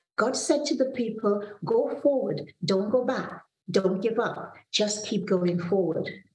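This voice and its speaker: A woman with a fairly high pitch speaks at a very slow pace amid audible room echo and light background noise. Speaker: pastor. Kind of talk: devotional sermon with prayer. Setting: video call from office. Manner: earnest, warm, measured preaching delivery. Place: home room. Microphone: video call.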